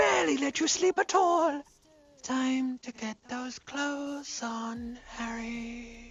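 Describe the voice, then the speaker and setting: A put-on character voice, female-sounding and high-pitched for a woman. It moves at a very slow pace. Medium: video game. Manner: dry, sardonic.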